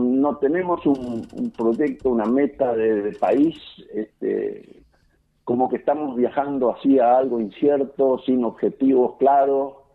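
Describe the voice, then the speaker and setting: Speaking at a very slow pace, a man uses a fairly high pitch. His pitch variation is ordinary. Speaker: farmer. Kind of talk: phone interview. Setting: phone call. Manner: halting, many fillers and repetitions.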